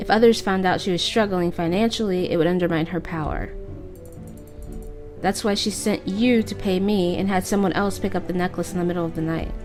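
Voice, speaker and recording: A woman's medium-pitched voice at a fairly quick pace, with music in the background. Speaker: let's play commentator. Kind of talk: reading game dialogue aloud.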